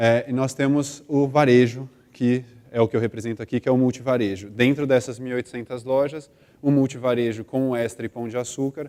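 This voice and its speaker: In a São Paulo accent, a man speaks at a fairly quick pace with a medium pitch. His tone is dark and mellow, his intonation monotone and flat. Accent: São Paulo (paulistano). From Brazil, São Paulo. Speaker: corporate brand manager. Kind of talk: conference talk.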